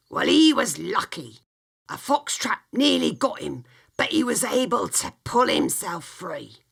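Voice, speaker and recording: Putting on a character voice, a man speaks raspy and at an extremely high pitch, at a fairly slow pace. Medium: read story. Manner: blunt, homely, uses dialect grammar.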